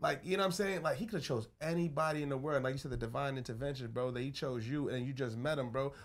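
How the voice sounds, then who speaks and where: A man with a New York accent talks at a very fast pace. His pitch is fairly high. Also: ordinary pitch variation, hardly any pauses. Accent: New York City. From the Bronx, New York. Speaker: podcast host. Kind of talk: casual chat.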